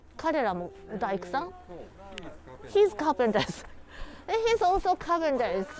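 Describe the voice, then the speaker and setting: A high-pitched woman speaks with very wide pitch swings and long, frequent pauses over noticeable background noise. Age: 60s. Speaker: local tour guide. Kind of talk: live walking tour. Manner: halting.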